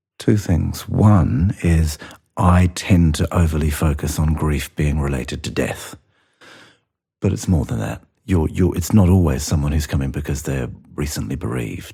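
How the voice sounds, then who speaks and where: A man speaks at a moderate pace with a very deep, low pitch and vocal fry. His tone is dark and mellow, with ordinary pitch variation. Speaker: interviewer. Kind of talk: interview conversation.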